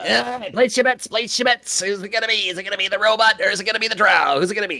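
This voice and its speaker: A put-on character voice at a very fast pace. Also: man, high pitch for a man. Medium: actual play. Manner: fast, hawking.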